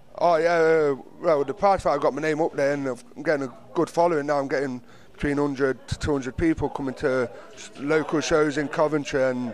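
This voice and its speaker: A man with an East Midlands accent speaks at a moderate pace with fairly even intonation. The sound is dry with no echo, over light background noise. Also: fairly high pitch for a man. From Nottingham, England; England. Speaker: professional boxer; interviewee. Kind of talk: casual interview. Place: hall. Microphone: handheld.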